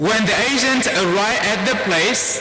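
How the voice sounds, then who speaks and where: Very wide pitch swings in a Vietnamese accent, with noticeable background noise and audible room echo. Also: man. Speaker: priest. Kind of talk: sermon.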